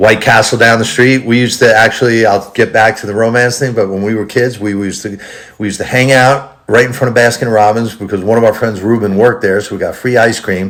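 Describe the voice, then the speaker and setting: A man with a New York accent speaks at medium pitch, very fast and with hardly any pauses. His intonation is monotone and flat over noticeable background noise. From New York, the Bronx. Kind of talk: casual chat.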